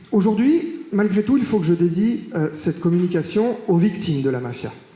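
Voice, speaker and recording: Amid audible room echo and noticeable background noise, a man speaks in a high voice with lively intonation. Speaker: mafia expert, academic. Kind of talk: public talk. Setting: stage with audience in a courthouse. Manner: hesitant, many filler sounds.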